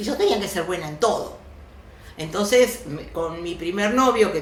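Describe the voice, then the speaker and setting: A woman with an Argentine accent and lively intonation speaks at a medium pitch and a fairly slow pace, with audible room echo and noticeable background noise. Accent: Rioplatense Argentine Spanish. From Argentina, raised from age two. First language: Yiddish (speaking Spanish). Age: 70s. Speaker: actress and oral storyteller. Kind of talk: interview, personal life story.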